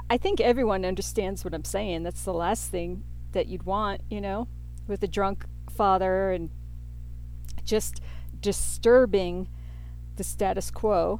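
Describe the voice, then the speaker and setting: A woman at a fairly slow pace, long and frequent pauses, and audible room echo. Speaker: podcast host, tarot and astrology reader. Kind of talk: solo podcast monologue with tarot reading. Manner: rambling, off the cuff with fillers.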